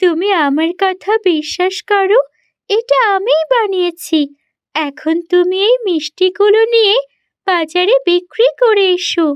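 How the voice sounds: Doing a cartoonish character voice, a woman talks at a very slow pace and an extremely high pitch.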